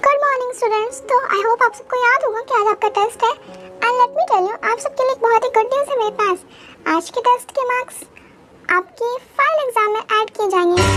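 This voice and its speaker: A female-sounding voice does a put-on character at an extremely high pitch for a woman. The delivery is very fast. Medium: read story. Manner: sarcastic, bossy.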